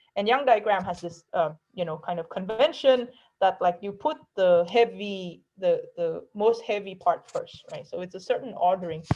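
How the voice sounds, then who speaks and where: A woman speaks with a dark, mellow tone, her loudness swinging widely. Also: medium pitch for a woman, ordinary pitch variation. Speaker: math professor. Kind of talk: lecture. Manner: fast.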